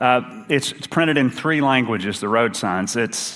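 Speaking with an Appalachian accent, a man keeps a medium pitch. His pace is fairly slow. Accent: Appalachian Kentucky. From Eastern Kentucky. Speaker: associate minister. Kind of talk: sermon. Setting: church.

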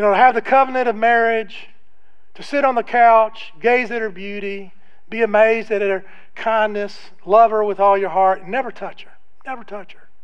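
In a room with audible echo, a man talks at a moderate pace in a high pitch, his intonation fairly even and his loudness swinging widely. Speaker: guest preacher. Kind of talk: sermon. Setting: church. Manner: subdued, less loud than usual.

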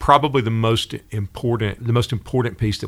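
A man with a Southern US accent, fairly quick pace and fairly even intonation. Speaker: school district director. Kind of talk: casual interview. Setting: studio.

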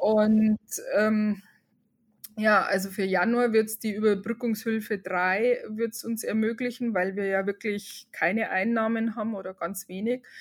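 A woman in a Bavarian accent speaks at a fairly slow pace with a fairly high pitch and monotone, flat intonation. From Upper Bavaria, Germany. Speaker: hairdresser and salon owner. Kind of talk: interview. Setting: video call.

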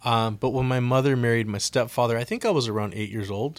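A man at a medium pitch with fairly even intonation, a normal speaking voice. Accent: American. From US West Coast, Oxnard, California. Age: 40s. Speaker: former addict sharing testimony. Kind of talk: testimony. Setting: radio studio.

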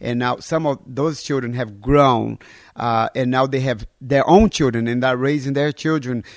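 In a very clean recording with a silent background and a dry, close sound with no echo, a man with a Portuguese accent speaks at a fairly slow pace. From northern Brazil. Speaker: pastor. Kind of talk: sermon; interview.

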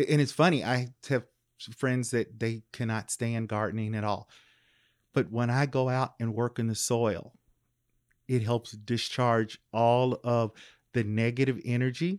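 In a dry, close sound with no echo, a man with an American accent talks at medium pitch in an ordinary speaking voice. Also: fairly even intonation, fairly slow pace, very clean recording, silent background. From US South, Louisville, Kentucky. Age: 50s. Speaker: professor. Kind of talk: casual interview. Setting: in-person home recording.

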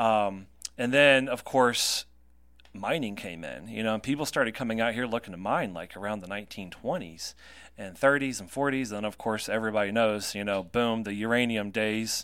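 In an American accent, this man's fairly low voice moves at a moderate pace, its pitch varying in an ordinary way. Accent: Southern US, comes and goes. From North Carolina. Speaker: radio host and tour guide. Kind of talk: casual chat. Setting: studio.

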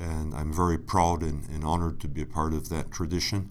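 A very deep, low male voice with an Inland North US accent, fairly quick, with audible room echo. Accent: American, Inland North. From Buffalo, New York, US. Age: 50s. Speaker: alumnus, sinology patron. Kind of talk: interview storytelling. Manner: halting, many fillers.

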